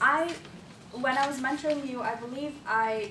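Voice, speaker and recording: The voice shows ordinary pitch variation over noticeable background noise and audible room echo. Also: woman. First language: not English. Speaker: public speaking club evaluator. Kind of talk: speech evaluation.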